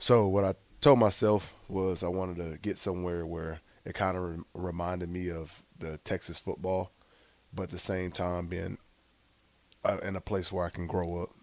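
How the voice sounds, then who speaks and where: In a Southern US accent, a man speaks at a very deep, low pitch with monotone, flat intonation at a moderate pace, on a very clean recording with a silent background. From US South, Gulfport, Mississippi. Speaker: former college football quarterback. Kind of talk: interview.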